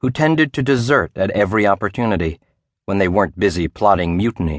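Against a quiet background, a man talks at a fairly quick pace in a fairly low voice. His delivery is dramatic, with lively intonation. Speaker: audiobook narrator. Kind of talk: scripted audiobook narration of a memoir, dramatic adventure storytelling. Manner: vivid, dramatic, measured pacing with suspenseful build; formal, polished, steady.

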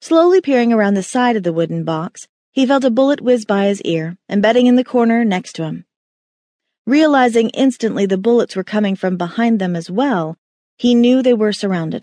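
A woman in a normal speaking voice, fairly high in pitch, lively in intonation and fairly quick, with a dry, close sound and no echo. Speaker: audiobook narrator. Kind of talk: dramatic audiobook narration of a thriller. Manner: tense, suspenseful, building urgency; shifts to clipped, shouted lines in action moments.

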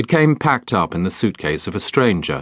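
A man with a British accent and vocal fry, very wide pitch swings, against a quiet background. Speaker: audiobook narrator. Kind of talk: dramatic audiobook narration of a children's fantasy story, reading aloud. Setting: studio. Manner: hushed, storytelling tone with spooky, wintry atmosphere, slow deliberate pacing.

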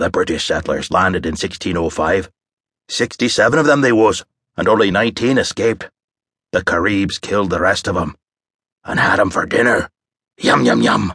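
Putting on a character voice, a man drawls in a rumbling, fairly low register with lively intonation at a moderate pace, leaving long, frequent pauses. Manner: conspiratorial, relishing the tale.

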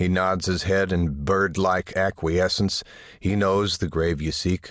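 In a solemn, dramatic tone, a man with a very deep, low voice speaks at a fairly slow pace with ordinary pitch variation. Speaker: audiobook narrator. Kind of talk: scripted dramatic narration, second-person, solemn and atmospheric. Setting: studio. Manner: slow, measured, solemn and hushed, building to a dramatic, pleading tone.

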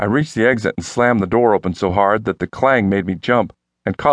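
Against a quiet background, someone reads aloud plainly, with ordinary pitch variation.

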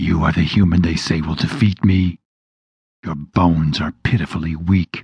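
Putting on a character voice, a man hisses at a moderate pace in a very deep, low pitch. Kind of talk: menacing, taunting. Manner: hissing.

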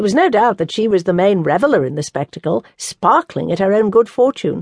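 Woman in a normal speaking voice, medium pitch and moderate pace, the sound dry and close with no echo. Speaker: audiobook narrator. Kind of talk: audiobook narration. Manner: measured, formal, storytelling cadence.

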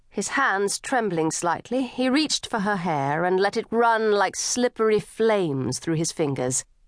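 Speaking at a fairly slow pace, a woman uses an animated, theatrical tone with very wide pitch swings around a medium pitch. The background is quiet. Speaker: audiobook narrator. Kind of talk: dramatic audiobook narration, performing characters in dialogue.

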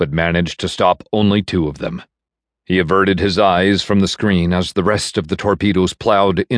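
Against a quiet background, the speaker is reading aloud in a natural voice with fairly even intonation.

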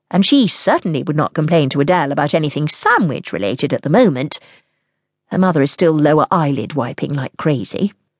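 Very deep and low in pitch, a woman speaks at a fairly quick pace with lively intonation, the sound dry and close with no echo. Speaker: audiobook narrator. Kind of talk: scripted audiobook narration of a novel, with character voices. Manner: dramatic, expressive storytelling; mostly measured, with shifts into character dialogue.

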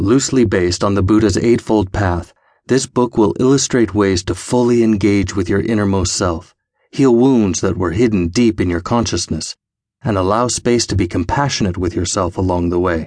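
A man with a normal speaking voice, fairly low in pitch, at a moderate pace with ordinary pitch variation and a quiet background. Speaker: audiobook narrator. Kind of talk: scripted audiobook narration, reading a self-help book aloud. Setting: studio. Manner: earnest, gently encouraging, addressing listener directly.

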